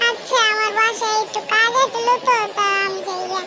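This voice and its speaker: A squeaky, cartoonish character voice. It moves along at a moderate pace. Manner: brash, loud, colloquial.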